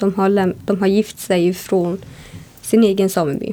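This is a normal speaking voice with fairly even intonation. It moves at a fairly slow pace. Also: woman. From northern Sweden, Sámi (Jämtland and Kiruna area). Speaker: radio presenter. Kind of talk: interview. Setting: hotel room.

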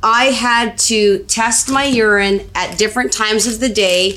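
Over noticeable background noise, a woman speaks very slowly at a fairly high pitch with ordinary pitch variation. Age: 40s. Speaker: matchmaker. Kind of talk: casual health chat on a live stream. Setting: Facebook Live video stream.

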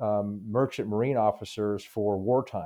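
A man speaks in a normal speaking voice with an American accent. His pitch is fairly low, with fairly even intonation. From Utah, Park City area. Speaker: military officer and naval engineer. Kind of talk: interview.

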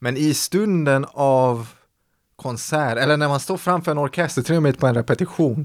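In a very clean recording with a silent background, a man with a plain, everyday voice and fairly high pitch talks at a moderate pace with ordinary pitch variation. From Sweden. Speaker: orchestra conductor. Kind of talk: interview.

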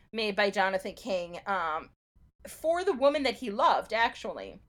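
A woman with an unremarkable speaking voice talks at a moderate pace and a fairly high pitch on a very clean recording with a silent background. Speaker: podcast host. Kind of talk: casual chat with scripted history segments.

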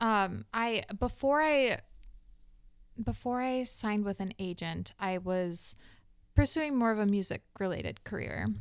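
At a fairly slow pace, a woman speaks in a plain, everyday voice with a medium pitch and ordinary pitch variation, on a very clean recording with a silent background. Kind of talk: casual interview chat.

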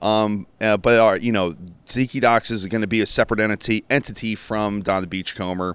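A man speaks at a fairly quick pace with fairly even intonation and a fairly low pitch. He has an unremarkable speaking voice, and the recording is very clean with a silent background. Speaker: restaurant art director. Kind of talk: casual chat. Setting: on location at an event.

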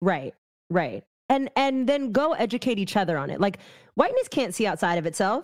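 A woman's fairly high voice with very wide pitch swings. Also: moderate pace. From San Francisco Bay Area, California. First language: not English (English is third language). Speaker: activist and educator. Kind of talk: casual chat.

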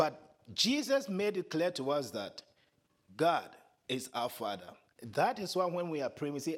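A man with a Ghanaian accent, high pitch and very wide pitch swings, at a fairly slow pace with long, frequent pauses. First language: Twi. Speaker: preacher. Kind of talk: sermon. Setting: church.

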